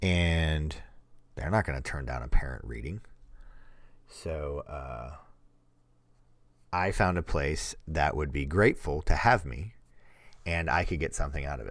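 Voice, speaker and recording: Over a silent background on a very clean recording, a man with a very deep, low voice speaks at a fairly slow pace, with long, frequent pauses and big swings in loudness. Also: ordinary pitch variation. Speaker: programming streamer. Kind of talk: live stream chat. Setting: live stream. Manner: casual, halting.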